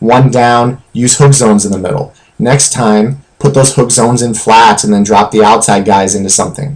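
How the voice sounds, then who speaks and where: A man with a plain, everyday voice speaks at medium pitch and a moderate pace. His pitch varies normally, and he hardly pauses. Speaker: video game tutorial creator. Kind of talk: tutorial.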